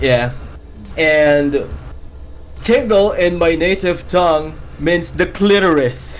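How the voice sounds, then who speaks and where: A man with a non-native accent speaks very slowly at a fairly high pitch, his loudness very even and his pitch varying in an ordinary way, with long, frequent pauses and audible room echo. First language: not English. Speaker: gaming YouTuber. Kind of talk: casual chat. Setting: live stream. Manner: halting.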